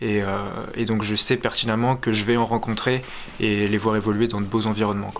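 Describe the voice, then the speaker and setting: A fairly low-pitched man at a fairly quick pace, flat and monotone, over noticeable background noise. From France, Charente-Maritime. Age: 20s. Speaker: wildlife photographer. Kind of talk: interview testimony. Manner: hesitant, many fillers.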